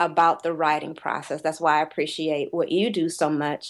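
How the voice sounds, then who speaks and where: At a moderate pace, an ordinary speaking voice keeps a fairly even intonation. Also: woman, quiet background. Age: 40s. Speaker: poet and corporate writer. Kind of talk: casual interview chat.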